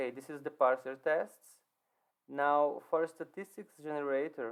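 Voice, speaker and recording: A man with a non-native accent speaks at a fairly high pitch with fairly even intonation. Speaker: software developer. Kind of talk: code walkthrough presentation. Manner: halting, with fillers and repetitions.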